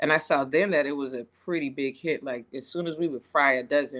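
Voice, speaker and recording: A woman with a Lowcountry accent and a very deep, low pitch speaks at a fairly quick pace against a quiet background. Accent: Southern US, Lowcountry. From Charleston, South Carolina. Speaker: chef, Army veteran. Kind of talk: podcast interview answer. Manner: casual, friendly.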